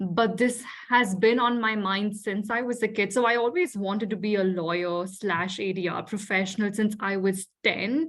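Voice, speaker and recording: The speaker has an Indian accent and talks at a moderate pace. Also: woman, medium pitch for a woman, ordinary pitch variation. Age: young. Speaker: dispute resolution professional. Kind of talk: casual interview chat.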